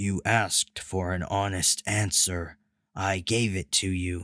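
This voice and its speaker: A booming, put-on character voice moves at a fairly slow pace in a very clean recording with a silent background. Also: man, very deep, low pitch for a man. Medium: read story. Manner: flat, formal, literal, no contractions.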